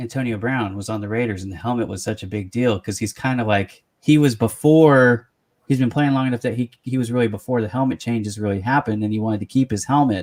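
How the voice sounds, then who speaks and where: In an American accent, a man with an unremarkable speaking voice talks fairly quickly at a medium pitch, the sound dry and close with no echo. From US West Coast, San Francisco Bay Area. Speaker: interview show host. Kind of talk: casual interview chat.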